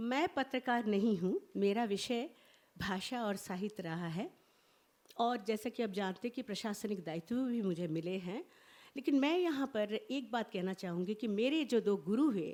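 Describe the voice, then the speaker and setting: Fairly high in pitch, a woman speaks with lively intonation. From India, grew up in border regions across the country. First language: Bengali (speaking Hindi). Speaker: professor of language and literature, translator. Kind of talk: conference speech. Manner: formal.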